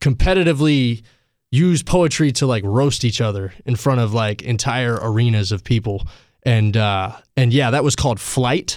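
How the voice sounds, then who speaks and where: A man with a plain, everyday voice and an American accent, medium in pitch with ordinary pitch variation, at a moderate pace, in a very clean recording with a silent background. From Asheville, North Carolina. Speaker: rapper. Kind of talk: casual chat. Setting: studio.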